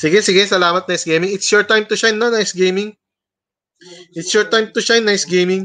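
Raised and projected, a man's high-pitched voice comes out very fast with an animated, bright, sharp tone. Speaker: livestream host. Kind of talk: livestream hosting, casual chat with viewers. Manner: loud. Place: home room. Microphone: webcam.

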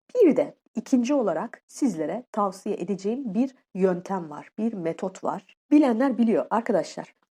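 Her fairly high pitch carries a dark, mellow tone as this woman speaks slowly-ish with lively intonation and hardly any pauses. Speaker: YouTuber and life coach. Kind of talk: solo vlog tutorial. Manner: casual, conversational.

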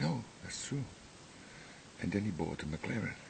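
A man is speaking. He whispers. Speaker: amateur vlogger. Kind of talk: casual rambling vlog chat. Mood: irritated, joking. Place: garden. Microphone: webcam.

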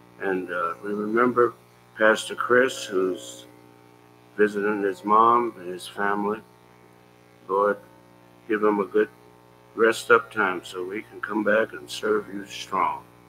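Music plays in the background as a man speaks at a fairly slow pace, with big swings in loudness and long, frequent pauses. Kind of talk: prayer. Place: church. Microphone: podium.

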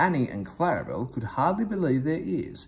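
A man speaks at a moderate pace with a fairly high pitch. His slightly mellow tone carries big pitch swings.

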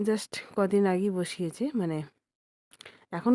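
A woman's medium-pitched voice with a dark, mellow tone, on a very clean recording over a silent background. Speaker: vlogger. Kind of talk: vlog narration. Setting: outdoors in village fields.

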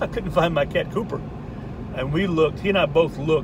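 Over noticeable background noise, a man speaks at a moderate pace with fairly even intonation and a dry sound with no echo. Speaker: vlogger. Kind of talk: casual vlog chat. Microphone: phone near.

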